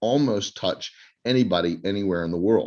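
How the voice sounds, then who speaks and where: In an ordinary speaking voice, a man talks at a moderate pace with a fairly low pitch and ordinary pitch variation against a quiet background. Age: 60s. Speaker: co-host of online summit. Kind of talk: panel introduction.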